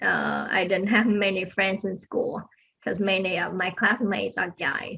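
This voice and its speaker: A woman with a non-native accent speaks at a fairly slow pace in a medium pitch, with fairly even intonation and vocal fry. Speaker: aerospace engineer. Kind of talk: interview. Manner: soft-spoken; halting.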